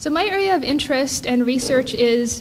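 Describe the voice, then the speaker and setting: A woman with a Hawaiian accent, high pitch and ordinary pitch variation at a moderate pace, amid noticeable background noise and audible room echo. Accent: Hawaiian American English. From Hawaii, island of Hawaii. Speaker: professor. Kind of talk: conference keynote.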